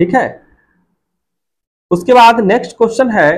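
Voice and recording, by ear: Ordinary pitch variation at a fairly slow pace. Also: man, high pitch for a man.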